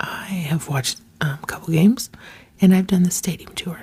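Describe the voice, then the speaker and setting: At a moderate pace, a woman speaks. Her voice is a whisper. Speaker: ASMR creator. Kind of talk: ASMR chit chat. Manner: whispered.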